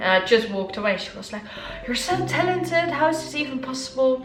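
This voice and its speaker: A woman talks rather quickly while music plays behind her. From Netherlands, Amsterdam. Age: young. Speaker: wheelchair fencer; motivational speaker. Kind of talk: casual talk to camera.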